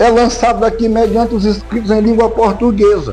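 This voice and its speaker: A man with a high pitch speaks at a moderate pace, with music in the background and audible room echo. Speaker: YouTube Bible commentator. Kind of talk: religious commentary monologue. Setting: at home. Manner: loud; animated.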